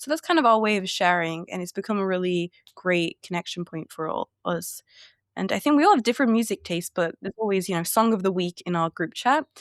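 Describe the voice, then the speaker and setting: A woman's very fast, lively-pitched speech in a dry, close sound with no echo. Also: medium pitch for a woman, very clean recording, silent background. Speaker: sociology graduate, book content creator. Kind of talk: casual podcast interview.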